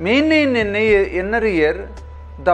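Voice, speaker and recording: Faint music plays behind a man as he speaks. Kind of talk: medical explainer to camera. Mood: calm, explanatory. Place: office.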